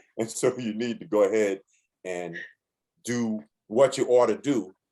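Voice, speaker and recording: With an American accent, a man speaks in a medium pitch and a dark, mellow tone. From New York (Bronx). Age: 60s. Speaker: musician. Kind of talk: interview.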